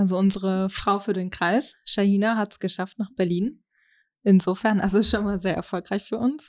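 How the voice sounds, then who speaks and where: Moderate pace and fairly even intonation in a woman's unremarkable speaking voice of medium pitch. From Germany, East Westphalia. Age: 20s. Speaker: party member. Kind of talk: interview.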